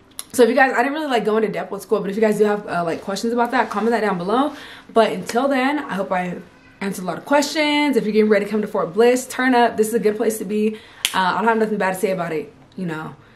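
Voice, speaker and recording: A woman with an American accent at a very fast pace, fairly high pitch and ordinary pitch variation, with faint music in the background. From California. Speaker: army soldier and vlogger; vlogger. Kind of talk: casual vlog. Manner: animated. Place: home room. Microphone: camera far.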